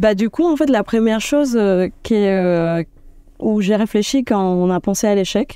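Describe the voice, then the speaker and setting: Speaking at a fairly slow pace, a woman uses a dark, mellow tone, lively intonation and very even loudness. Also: medium pitch for a woman. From Dominican Republic. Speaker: UX designer. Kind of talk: interview. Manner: hesitant, many filler sounds.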